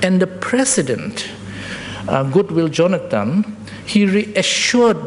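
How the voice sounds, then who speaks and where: A man with a non-native accent and very wide pitch swings, over noticeable background noise. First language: not English. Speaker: public health expert presenter. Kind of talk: presentation at public forum. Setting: public forum with audience. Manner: halting, self-correcting.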